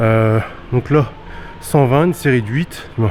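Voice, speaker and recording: A man speaks at a medium pitch with ordinary pitch variation. Noticeable background noise is present throughout. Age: 30s. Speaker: fitness vlogger. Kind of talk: casual vlog talk. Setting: gym.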